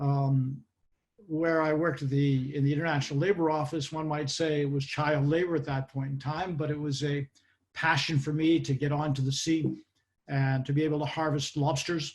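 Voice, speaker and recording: A man speaks at a fairly high pitch in a somewhat breathy voice. His intonation is monotone and flat. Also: moderate pace. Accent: Boston. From US Northeast, Boston area (Massachusetts). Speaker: occupational safety expert. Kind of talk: interview. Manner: hesitant, many fillers.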